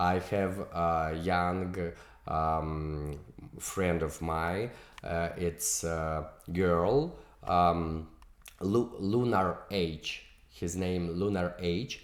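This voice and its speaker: Amid audible room echo, a man with a very deep, low pitch and a non-native accent speaks at a very slow pace with long, frequent pauses and ordinary pitch variation. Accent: non-native English, weak English. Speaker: music video director and producer. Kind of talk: interview. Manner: halting, many fillers.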